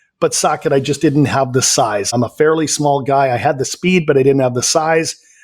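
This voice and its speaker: A man with a Canadian accent talks at a fairly quick pace and a fairly high pitch. His loudness stays very even. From western Canada, Vancouver. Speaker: life coach. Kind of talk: interview.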